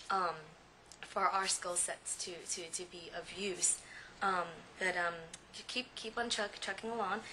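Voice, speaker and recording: Amid noticeable background noise, a woman speaks fairly slowly at medium pitch, with fairly even intonation and long, frequent pauses. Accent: American. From San Jose, California. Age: 20s. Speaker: recent law graduate. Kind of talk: personal testimony. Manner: halting, many fillers.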